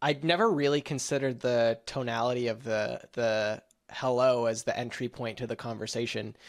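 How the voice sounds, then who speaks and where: At a moderate pace and medium pitch, a man speaks in a normal speaking voice with fairly even intonation against a quiet background. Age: young. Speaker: podcast host. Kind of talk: casual chat.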